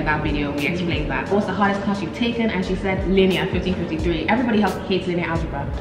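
The woman's delivery is very fast. Behind her, clear music plays. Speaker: college student. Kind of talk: casual talk to camera. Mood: cheerful, laughing. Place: home room.

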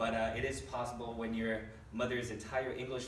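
Amid light background noise and audible room echo, a man talks at a moderate pace. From Brazil. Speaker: stand-up comedian. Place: stage. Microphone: camera far.

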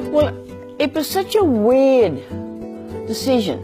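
A woman speaks very slowly while clear music plays in the background. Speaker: farmer. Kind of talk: interview answer. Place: home room. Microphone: lapel.

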